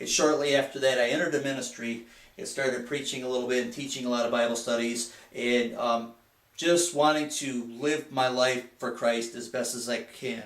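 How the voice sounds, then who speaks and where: A man speaks in an American accent with fairly even intonation. The recording carries audible room echo and noticeable background noise. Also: medium pitch for a man, moderate pace. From Michigan, US Midwest. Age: 50s. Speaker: student and lay Bible teacher. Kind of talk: class speech. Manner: halting.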